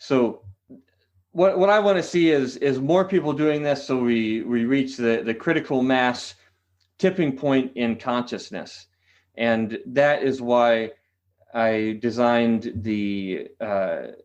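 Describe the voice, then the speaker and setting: Against a quiet background, a man with a Californian accent speaks at a very slow pace with lively intonation. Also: medium pitch for a man. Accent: General American (California). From California, San Diego. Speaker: qigong teacher. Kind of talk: podcast interview. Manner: hesitant, many fillers.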